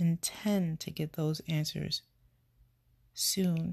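A woman with an American accent speaks in a monotone, flat intonation, somewhat breathy. The recording is very clean with a silent background. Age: 30s. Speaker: podcast host. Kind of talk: personal monologue.

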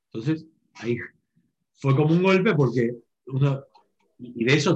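Somewhat breathy, a man with a Rioplatense accent speaks at a moderate pace and a fairly high pitch with ordinary pitch variation. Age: 40s. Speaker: real estate entrepreneur. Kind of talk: webinar panel talk.

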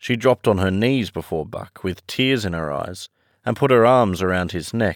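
Heard over a quiet background, the speaker uses a natural reading voice.

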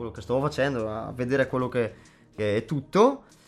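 Music can be heard behind the speaker. The man's medium-pitched voice keeps fairly even intonation. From northern Italy, Brescia province. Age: 20s. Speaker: beatboxer. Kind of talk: casual interview. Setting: studio.

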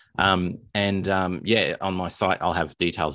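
A man's very deep, low voice, bright and sharp in tone, with an Australian accent. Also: very clean recording, silent background. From Australia, Melbourne. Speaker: indie author. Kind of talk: interview.

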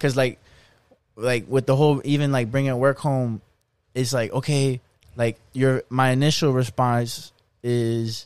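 A man speaks in an unremarkable speaking voice at medium pitch. His pace is fairly slow and his intonation fairly even. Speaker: podcast co-host. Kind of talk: casual chat.

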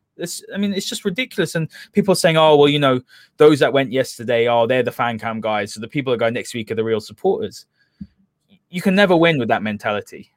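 Delivered in a London accent, the speech runs at a very fast pace with lively intonation. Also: man, fairly high pitch for a man. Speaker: football podcast host. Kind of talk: casual football analysis chat.

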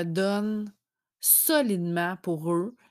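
The recording is very clean, with a silent background. The speaker talks with a Quebec accent. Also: woman. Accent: Québécois French. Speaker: podcaster mom. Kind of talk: personal reflection monologue. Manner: hesitant, many fillers.

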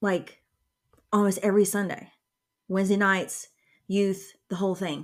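With a Southern US accent, a woman speaks in a monotone, flat intonation broken by long, frequent pauses. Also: medium pitch for a woman, moderate pace. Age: 30s. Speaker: podcast host, homeschooling mom. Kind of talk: casual chat.

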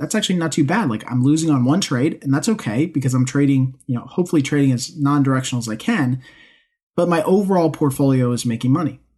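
A man speaks at a fairly quick pace in a fairly high, somewhat breathy voice with lively intonation over a quiet background. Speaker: trading podcast host. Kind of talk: solo podcast monologue.

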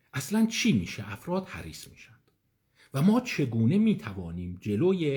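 A man speaks at a moderate pace with a dark, mellow tone. His pitch swings very widely, and his voice is somewhat breathy. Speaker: psychiatrist giving an online lecture. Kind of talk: lecture. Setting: online live session. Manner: conversational.

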